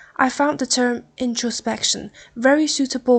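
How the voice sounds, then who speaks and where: A woman with a Chinese accent speaks at a moderate pace. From Taiwan. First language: Mandarin Chinese. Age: 20s. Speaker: podcast host. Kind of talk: podcast monologue. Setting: hotel room.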